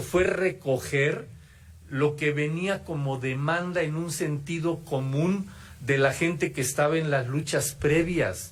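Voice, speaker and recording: The room echo is audible. Pitch varies in an ordinary way. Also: man. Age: 70s. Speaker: former student activist, keynote speaker. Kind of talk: keynote lecture. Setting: auditorium with audience. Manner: halting, with false starts.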